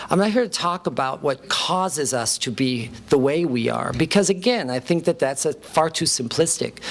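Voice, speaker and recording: Speaking at a moderate pace, a woman has a very deep, low pitch with very wide swings. Noticeable background noise sits behind her. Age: 50s. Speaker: transgender speaker and educator. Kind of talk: lecture. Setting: university talk with audience. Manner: conversational, some repetitions.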